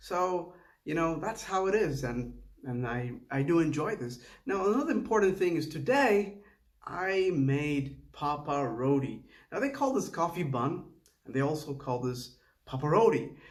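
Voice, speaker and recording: A man talks at a moderate pace with lively intonation and a fairly high pitch. Room echo can be heard in the recording. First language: Tamil. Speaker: home cook video creator. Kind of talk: casual cooking vlog voiceover. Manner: halting, with false starts.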